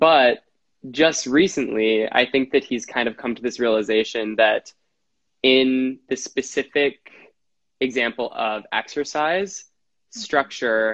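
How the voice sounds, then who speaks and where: A man with an American accent has an ordinary speaking voice at a medium pitch with ordinary pitch variation. The sound is dry and close, with no echo. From Wisconsin. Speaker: actor and health coach. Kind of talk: casual interview. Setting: video call.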